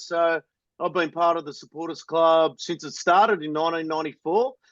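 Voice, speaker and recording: Here a man speaks in a high pitch. His pace is fairly quick. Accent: Australian. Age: 40s. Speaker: supporters club member and podcaster. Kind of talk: casual chat.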